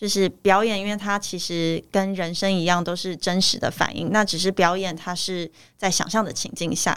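On a very clean recording with a silent background, a woman speaks at a moderate pace in a medium pitch with monotone, flat intonation and hardly any pauses. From Taiwan. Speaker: actress. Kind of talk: interview. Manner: halting.

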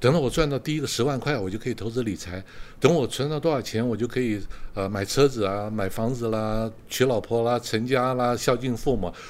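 A man at a medium pitch, very fast pace, very clean recording with a silent background. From Taiwan. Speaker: retired executive turned street performer. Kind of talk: interview.

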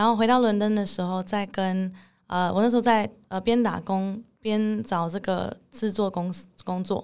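On a very clean recording with a silent background, a woman at medium pitch speaks at a fairly slow pace in a monotone, flat way. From Netherlands. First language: English (speaking Chinese). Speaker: English teacher. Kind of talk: interview.

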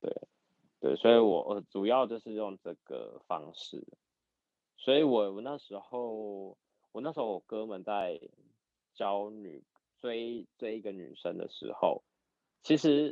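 At a very slow pace, a man speaks with long, frequent pauses and big swings in loudness. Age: 30s. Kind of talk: casual chat.

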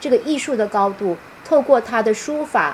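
A woman's fairly high voice with very wide pitch swings, against noticeable background noise. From Taiwan. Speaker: university professor and author. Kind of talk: online book talk lecture. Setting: live-stream video call.

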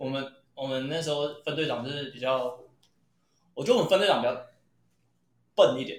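This man's fairly high voice moves at a fairly quick pace with long, frequent pauses, ordinary pitch variation and big swings in loudness, and audible room echo surrounds it. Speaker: podcast co-host. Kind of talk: casual chat.

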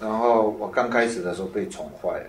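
A man speaks at a moderate pace in a fairly low voice, with audible echo from the room. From Taiwan. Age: 50s. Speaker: author and lecturer. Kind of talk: talk to an audience.

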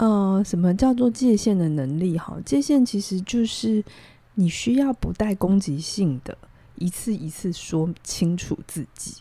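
A woman's somewhat breathy, dark, mellow voice at medium pitch, with lively intonation, a fairly slow pace, and a very clean recording over a silent background. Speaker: psychologist. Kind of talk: advice-giving chat on a podcast. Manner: calm, measured with many fillers.

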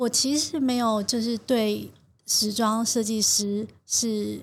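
Over a silent background on a very clean recording, a woman speaks at a fairly high pitch, somewhat breathy, with fairly even intonation. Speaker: fashion designer. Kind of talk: interview. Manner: gentle but assured; slow.

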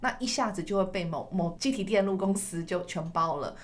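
A woman speaks at a medium pitch amid audible room echo. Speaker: podcast host. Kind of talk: interview.

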